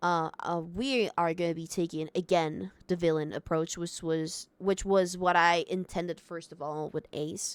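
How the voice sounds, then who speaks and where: On a very clean recording with a silent background, the voice moves at a fairly slow pace with fairly even intonation and hardly any pauses. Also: woman, fairly low pitch for a woman. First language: not English. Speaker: Minecraft streamer. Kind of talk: casual livestream talk. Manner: halting, many fillers.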